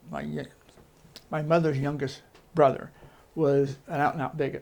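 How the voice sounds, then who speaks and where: A man with an American accent talks at a moderate pace. His fairly high voice has monotone, flat intonation. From southeastern Ohio, Millfield. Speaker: former mining town resident. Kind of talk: oral history interview. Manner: conversational, with fillers.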